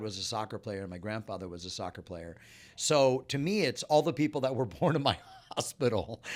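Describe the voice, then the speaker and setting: The recording is very clean, with a silent background. A man with a Californian accent speaks at medium pitch with lively intonation. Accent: General American (Californian). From Los Angeles, California. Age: 50s. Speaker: musician and DJ. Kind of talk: casual chat.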